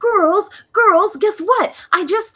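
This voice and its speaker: In a squeaky, put-on character voice, a woman speaks at an extremely high pitch. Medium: game stream. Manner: naive, sweet.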